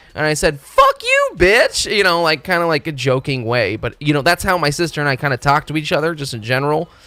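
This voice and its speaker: Music plays in the background as someone speaks fairly quickly. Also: man. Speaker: video game streamer. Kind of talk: casual live stream chat. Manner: loud; animated, halting.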